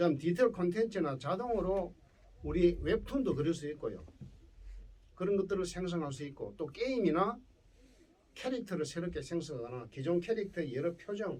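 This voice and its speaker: Speaking in a Gyeongsang accent, a man uses a high pitch with lively intonation at a moderate pace. Long, frequent pauses break his speech amid audible room echo. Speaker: professor. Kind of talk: lecture.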